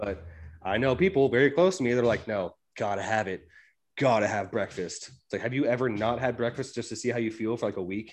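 A normal speaking voice moves along at a fairly brisk speed. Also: man, medium pitch for a man, ordinary pitch variation. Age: 30s. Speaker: podcast host, gym enthusiast. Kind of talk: casual chat.

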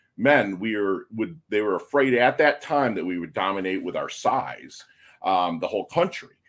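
An unremarkable speaking voice from a man, lively in intonation, at a moderate pace, on a very clean recording with a silent background. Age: 50s. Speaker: navy veteran and podcaster. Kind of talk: casual chat.

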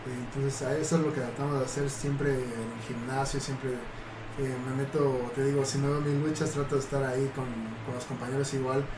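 A man's medium-pitched, monotone, flat voice at a moderate pace, with audible room echo and music in the background. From Mexico City. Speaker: professional wrestler. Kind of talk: casual chat.

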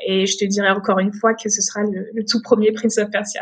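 A woman's voice comes across somewhat breathy. She talks at a fairly quick pace. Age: 20s. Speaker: streamer and gaming association founder. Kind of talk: casual interview. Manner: halting, many fillers.

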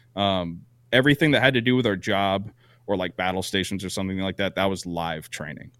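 Very deep and low, a man's voice moves at a fairly quick pace with ordinary pitch variation. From Vermont, US. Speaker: podcast co-host and Navy veteran. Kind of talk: casual chat.

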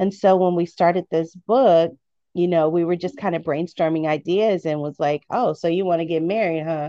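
A woman's normal speaking voice, fairly low in pitch, with an American accent, fairly even intonation and a moderate pace, in a dry, close sound with no echo. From US Midwest. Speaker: author. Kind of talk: interview testimony.

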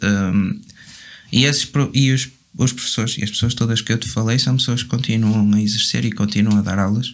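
With a fairly even intonation, a man speaks at a fairly quick pace and medium pitch in a plain, everyday voice. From northern Portugal, Vila Nova de Gaia. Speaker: drummer. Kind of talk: casual chat.

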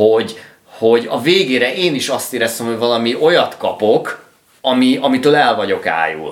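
With lively intonation, a man at medium pitch speaks at a moderate pace, and room echo can be heard. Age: 30s. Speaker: music podcast co-host. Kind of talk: casual chat.

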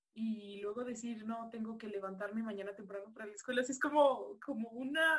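A woman with a Mexican accent, fairly high-pitched, at a moderate pace. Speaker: student. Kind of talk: casual chat. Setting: video call.

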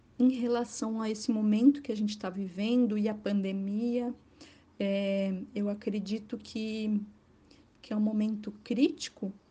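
Her tone is dark, mellow and somewhat breathy. The woman keeps a fairly slow pace and fairly even intonation. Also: fairly high pitch for a woman. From Florianópolis area, Santa Catarina, Brazil. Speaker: journalist and tour guide. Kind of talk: interview.

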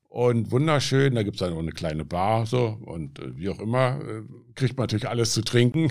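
A man talks at a fairly quick pace. He speaks in a Berlin accent. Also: medium pitch for a man, lively intonation. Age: 70s. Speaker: addiction self-help group leader. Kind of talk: interview, personal testimony.

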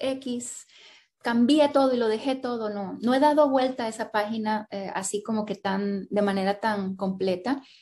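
A woman's fairly high-pitched voice carries a dark, mellow tone. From Colombia (Cali). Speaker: writer and graphic designer. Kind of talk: interview.

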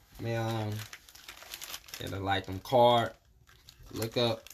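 With noticeable noise in the background, a man speaks very slowly at a medium pitch. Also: long, frequent pauses. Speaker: guest. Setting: in studio.

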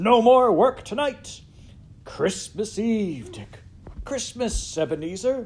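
A man in a put-on character voice, pitched high and slightly mellow. He speaks slowly with big pitch swings.

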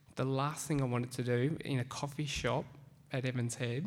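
Speaking in an Australian accent, a man talks at a moderate pace. His pitch is medium and his intonation monotone and flat. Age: 30s. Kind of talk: talk to a live audience.

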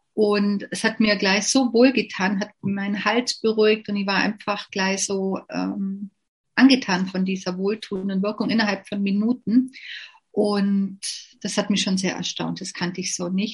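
Over a quiet background, a woman talks at a fairly slow pace in a medium pitch. Her intonation is monotone and flat, and her voice is somewhat breathy. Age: 50s. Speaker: network marketing distributor. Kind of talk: interview.

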